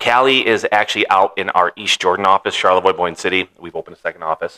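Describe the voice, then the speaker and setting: Speaking very fast with an American accent, a man with a very deep, low pitch has a bright, sharp tone, ordinary pitch variation and a dry, close sound with no echo. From Michigan, Metro Detroit area. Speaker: mortgage broker. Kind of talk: podcast interview.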